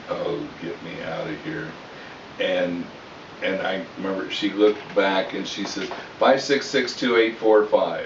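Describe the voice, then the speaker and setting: Noticeable background noise and audible room echo surround a man talking at a very slow pace. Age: 60s. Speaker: storyteller, army veteran. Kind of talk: family storytelling. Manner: casual, halting.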